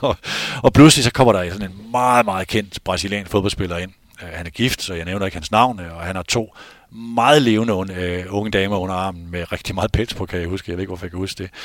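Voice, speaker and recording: Over a silent background on a very clean recording, a man speaks in a very deep, low voice at a fairly quick pace. His pitch varies in an ordinary way, and his loudness swings widely. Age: 50s. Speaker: football journalist and podcast host. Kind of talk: casual chat. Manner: halting.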